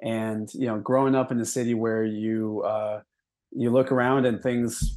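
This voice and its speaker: A man's normal speaking voice with an American accent, medium pitch, fairly even intonation and a fairly slow pace, against a quiet background. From Milwaukee, Wisconsin. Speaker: delivery driver and union activist. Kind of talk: interview.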